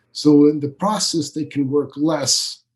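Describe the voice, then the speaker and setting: A man with a Swiss accent talks fairly slowly in a fairly high, somewhat breathy voice with fairly even intonation. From Switzerland. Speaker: business coach. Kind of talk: podcast interview.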